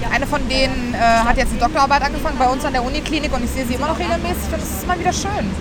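With crowd noise in the background, a woman with a high pitch speaks at a very fast pace with hardly any pauses and ordinary pitch variation. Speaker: podcast co-host, veterinary student. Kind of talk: casual chat. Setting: outdoors at a student orientation event.

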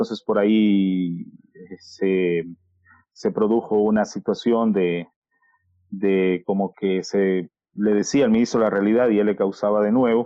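A man with a fairly low pitch speaks at a fairly slow pace, with long, frequent pauses. His intonation is fairly even and his loudness very even. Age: 30s. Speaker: journalist and communicator. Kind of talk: interview. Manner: halting.

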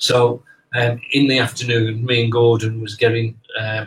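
At a moderate pace, a man talks with a somewhat breathy voice at medium pitch. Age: 60s. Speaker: spiritualist medium and teacher. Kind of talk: casual interview over live stream. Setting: live online stream.

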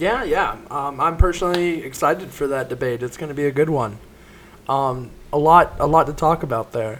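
In an American accent, a man speaks with a fairly high pitch and ordinary pitch variation. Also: moderate pace. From rural South Carolina. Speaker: student podcast host. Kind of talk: casual interview.

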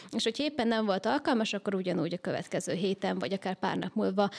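A woman's medium-pitched voice with vocal fry at a very fast pace, dry and close with no echo. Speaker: organizational psychologist and business coach. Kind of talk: interview.

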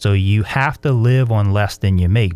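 Speaking at a moderate pace in a South Louisiana accent, a man with a fairly low pitch and a dark, mellow tone comes through on a very clean recording with a silent background. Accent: South Louisiana US Southern. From South Louisiana, La Place. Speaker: pastor and author. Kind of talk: interview.

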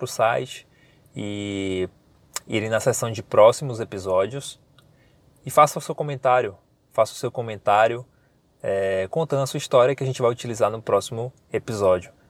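The voice comes across dry and close with no echo, at a moderate pace and with ordinary pitch variation. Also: man. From Bahia interior, Brazil (Paripiranga). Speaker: podcast host. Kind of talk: casual podcast monologue. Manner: informal, chatty.

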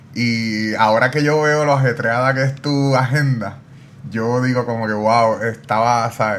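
A man talks in a normal speaking voice at medium pitch. His pace is fairly slow and his intonation fairly even. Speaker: podcast host. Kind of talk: interview.

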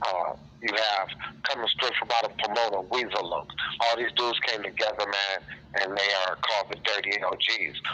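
A man's fairly low voice at a moderate pace, fairly even in intonation, with noticeable background noise. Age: 40s. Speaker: pop-lock dancer and fitness instructor. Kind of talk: casual interview.

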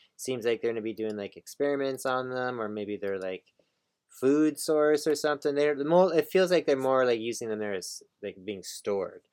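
Recorded with a dry, close sound and no echo, a man has a normal speaking voice at a medium pitch with lively intonation. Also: moderate pace. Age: 40s. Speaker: comic book podcast co-host. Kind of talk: casual chat.

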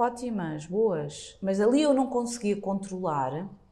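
A woman speaks in an unremarkable speaking voice, her medium pitch carried by lively intonation. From Portugal. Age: 40s. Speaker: blogger. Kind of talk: casual interview.

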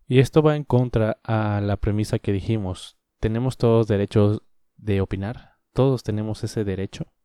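In a dry, close sound with no echo and a very clean, silent background, a man with a Mexican accent speaks at a moderate pace in a dark, mellow tone with fairly even intonation. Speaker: podcaster. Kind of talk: solo opinion monologue. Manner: casual.

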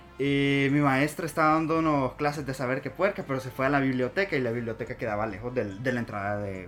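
His pitch is fairly high and varies in an ordinary way. The man talks very fast. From Honduras. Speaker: podcast co-host. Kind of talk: casual chat. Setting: hot small room. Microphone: far from the mic.

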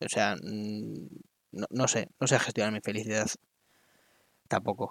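Recorded with a dry, close sound and no echo, a man is speaking. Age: 20s. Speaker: podcaster. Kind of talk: solo monologue. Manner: halting.

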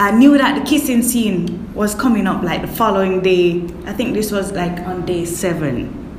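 With lively intonation and a medium pitch, a woman talks at a moderate pace amid audible room echo and noticeable background noise. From Kingston, Jamaica. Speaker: actress and makeup artist. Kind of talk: interview.

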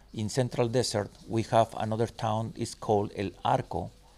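With a Spanish accent, a man speaks at a moderate pace in a medium, dark and mellow tone, captured in a very clean recording with a silent background. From Chiapas, southern Mexico. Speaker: wilderness guide and knife maker. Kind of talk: interview.

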